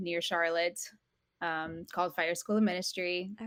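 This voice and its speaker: An ordinary speaking voice from a woman with an American accent, fairly low in pitch, with fairly even intonation at a moderate pace. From Europe (Portugal and Italy), American parents. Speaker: homeschooling mother and small business owner. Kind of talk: podcast interview.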